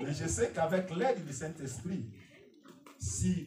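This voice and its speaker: This man talks at a very slow pace. Audible room echo and music in the background are present. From Angola. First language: Portuguese (speaking French). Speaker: pastor. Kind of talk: sermon. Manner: halting.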